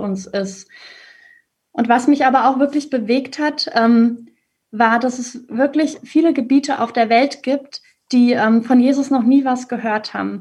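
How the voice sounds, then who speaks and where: Her voice high, a woman speaks at a moderate pace with fairly even intonation. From Germany, Hesse (Ostheim). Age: 30s. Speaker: primary school teacher. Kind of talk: faith testimony interview. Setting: video call.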